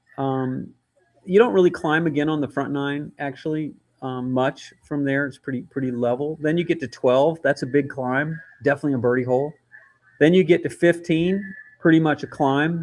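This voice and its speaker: This is a plain, everyday voice, moving at a moderate pace. Its pitch shows ordinary variation. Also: man, fairly high pitch for a man. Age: 60s. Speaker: golf course architect. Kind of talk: casual chat.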